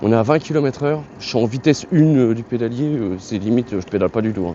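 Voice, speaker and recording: A man talks at a very fast pace with a medium pitch and ordinary pitch variation. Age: 30s. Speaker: YouTuber reviewing products. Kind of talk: product review while riding. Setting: outdoors on a bike. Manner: halting, many hesitations; casual.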